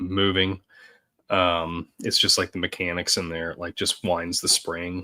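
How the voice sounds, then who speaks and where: The recording is very clean with a silent background. A man with a very deep, low pitch and a bright, sharp tone talks fairly slowly in a flat monotone. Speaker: podcast co-host. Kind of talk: casual chat.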